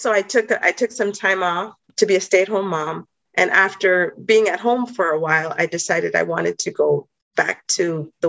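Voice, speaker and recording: In a dry, close sound with no echo, a woman with vocal fry speaks at a medium pitch with ordinary pitch variation. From Jamaica. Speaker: professor and pastor. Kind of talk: interview conversation.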